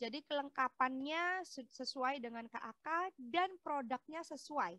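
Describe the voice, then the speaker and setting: A woman uses a raised, projected voice with high pitch. Her tone is bright and sharp, and her intonation is lively. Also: dry, close sound with no echo. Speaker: architecture lecturer. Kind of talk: lecture.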